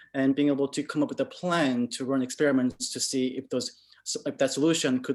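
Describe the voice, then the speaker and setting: Speaking at a fairly quick pace with fairly even intonation, a man with a non-native accent holds a medium pitch on a very clean recording with a silent background. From moved to an English-speaking country in middle school. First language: not English. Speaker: UX/UI designer. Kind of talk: panel Q&A. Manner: halting, repeats words.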